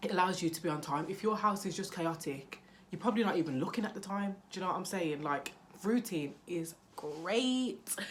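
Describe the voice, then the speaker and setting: A loud woman with a British accent, medium-pitched, at a fairly quick pace, with ordinary pitch variation, audible room echo and noticeable background noise. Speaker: parenting vlogger. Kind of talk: casual vlog talk to camera.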